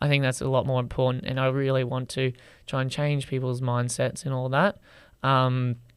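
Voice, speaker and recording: In a very clean recording with a silent background, a man with an Australian accent speaks at a medium pitch and moderate pace, his intonation monotone and flat. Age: 20s. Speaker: TikTok creator. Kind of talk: podcast interview. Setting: studio.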